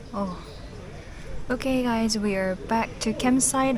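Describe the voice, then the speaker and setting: A woman speaks at a moderate pace in a Korean accent, with ordinary pitch variation. Audible room echo and noticeable background noise surround her. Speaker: van life vlogger. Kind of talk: casual vlog talk.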